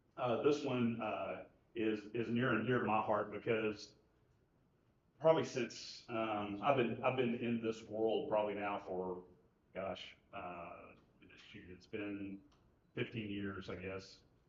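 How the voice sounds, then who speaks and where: Amid audible room echo, a man speaks at a fairly slow pace with fairly even intonation, big swings in loudness and long, frequent pauses. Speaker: industry presenter at a user conference. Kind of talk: conference presentation. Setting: conference stage with audience. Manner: halting, many fillers.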